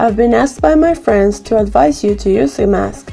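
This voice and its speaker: With music in the background, a woman speaks at a medium pitch and a moderate pace. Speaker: DIY woodworking creator. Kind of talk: tutorial voice-over narration.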